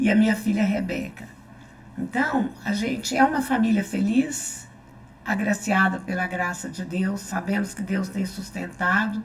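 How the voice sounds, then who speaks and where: Over noticeable background noise, a woman speaks fairly slowly at a medium pitch with ordinary pitch variation. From Brazil, Goiás (Anápolis area). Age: 70s. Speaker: church member and small-group leader. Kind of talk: testimony.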